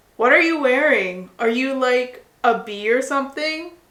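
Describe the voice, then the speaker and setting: Putting on a character voice, a woman speaks at a moderate pace in a high, raised and projected voice. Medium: read story. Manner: loud, enthusiastic.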